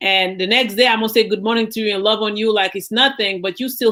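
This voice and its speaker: A woman with a Haitian accent talks at a very fast pace in a fairly high voice. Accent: Haitian Caribbean. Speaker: university professor. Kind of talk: panel discussion. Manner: animated.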